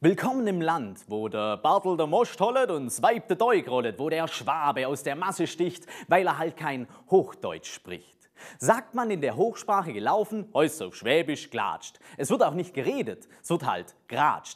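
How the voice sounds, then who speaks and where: In a Swabian accent, a man speaks in a fairly high pitch with vocal fry and very wide pitch swings, against a quiet background. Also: fairly slow pace. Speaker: poetry slammer. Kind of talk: poetry slam performance. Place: studio. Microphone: lapel.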